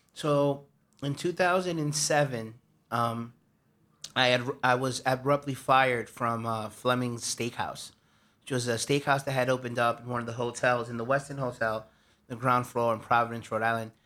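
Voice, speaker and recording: A man with a New York accent, bright and sharp in tone, with fairly even intonation at a moderate pace. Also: medium pitch for a man. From New York, Harlem. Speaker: bartender. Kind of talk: casual chat. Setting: studio.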